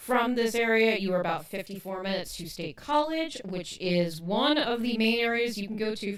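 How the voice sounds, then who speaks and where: Speaking at a fairly quick pace with hardly any pauses, a woman with a Pittsburgh accent uses a fairly high pitch, lively intonation and big swings in loudness. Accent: Pittsburghese. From Western Pennsylvania. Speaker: podcast co-host. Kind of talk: casual chat.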